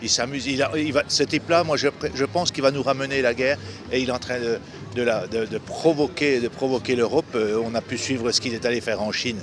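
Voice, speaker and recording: Noticeable background noise sits behind the speech. The delivery is very fast with fairly even intonation. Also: man. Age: 60s. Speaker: retired protester at a street demonstration. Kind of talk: street interview. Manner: halting, many repetitions and hesitations.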